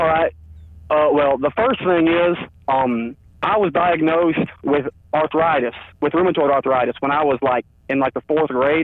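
This man has an unremarkable speaking voice, fairly high in pitch with ordinary variation, delivered at a moderate pace. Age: 20s. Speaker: caller, powerlifter and youth coach. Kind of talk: casual chat. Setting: phone call.

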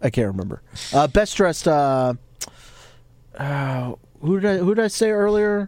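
The voice moves at a fairly slow pace with long, frequent pauses. Its pitch swings very widely. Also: man, fairly high pitch for a man. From Latin American heritage. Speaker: wrestling podcast co-host. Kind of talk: casual chat. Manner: animated.

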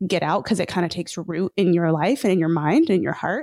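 Very fast speech comes from a woman with a dark, mellow tone. The recording is very clean, with a silent background. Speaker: author and podcaster. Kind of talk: casual interview conversation. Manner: fast talker.

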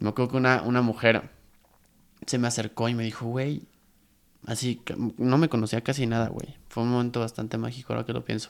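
A medium-pitched male voice with a Mexican accent, flat monotone intonation and long, frequent pauses. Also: fairly quick pace. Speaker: podcast host. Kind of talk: casual chat.

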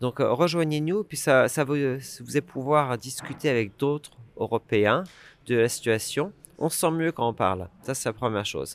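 A man's ordinary speaking voice at medium pitch, with lively intonation and a fairly slow pace, on a very clean recording with a silent background. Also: dry, close sound with no echo. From France. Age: 40s. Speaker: campaigner for EU citizens' rights. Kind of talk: interview.

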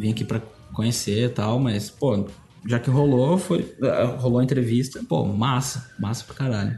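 A man speaks at medium pitch. Music plays in the background. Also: ordinary pitch variation, moderate pace. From Brazil, interior of Paraná (Cascavel). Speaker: art director. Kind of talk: casual interview chat.

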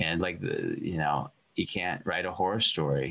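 The speaker has an American accent and a moderate pace. Noticeable background noise runs under the voice. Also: man. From Montana. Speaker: celebrity chef. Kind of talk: interview.

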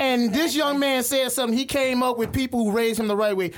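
A man's extremely high voice with ordinary pitch variation, over noticeable background noise. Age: 30s. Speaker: podcast panelist. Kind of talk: casual chat. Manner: animated.

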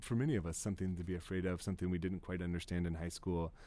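A man talks with an American accent at a very deep, low pitch. His tone is dark and mellow. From rural Ohio, US. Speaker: poet and arts center director. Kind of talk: interview conversation.

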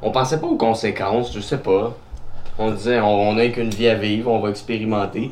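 Over noticeable background noise and audible room echo, a man with a Quebec accent speaks at a fairly quick pace with fairly even intonation. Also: medium pitch for a man. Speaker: podcast host. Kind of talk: casual chat.

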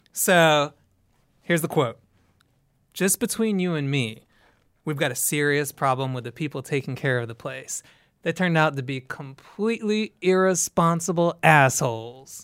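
In a very clean recording with a silent background, a man has an ordinary speaking voice, fairly high in pitch, with lively intonation and a moderate pace. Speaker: TV producer and writer. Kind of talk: casual chat.

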